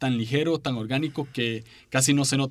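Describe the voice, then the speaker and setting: With a Costa Rican accent, a man speaks in a fairly high voice. His pitch varies in an ordinary way. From Costa Rica, San José. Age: 20s. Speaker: podcaster and preacher. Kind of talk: casual interview. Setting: studio.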